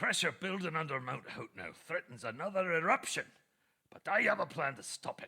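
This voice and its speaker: A man puts on a character voice with a high pitch. He speaks at a moderate pace. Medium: video game. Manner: gruff, scholarly.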